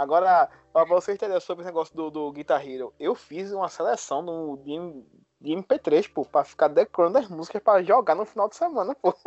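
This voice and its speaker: At a moderate pace, a man with a high voice speaks with ordinary pitch variation and big swings in loudness. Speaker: podcast co-host. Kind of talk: casual chat.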